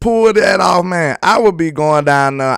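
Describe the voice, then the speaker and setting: A man talks in an excited tone. He has a southern Alabama accent. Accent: Southern Alabama country. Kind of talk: relaxed, loose grammar. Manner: excited, hyped.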